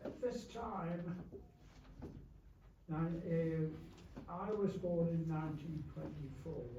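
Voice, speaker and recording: A man's high-pitched voice at a very slow pace, with long, frequent pauses, ordinary pitch variation and audible room echo. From Yorkshire, northern England. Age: 80s+. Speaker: war veteran. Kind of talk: speech to an audience, memoir. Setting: remembrance service with audience. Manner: halting.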